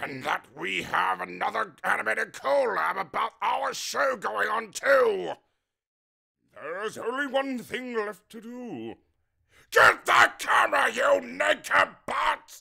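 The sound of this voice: A raspy, cartoonish character voice moves at a fairly slow pace. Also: man, high pitch for a man.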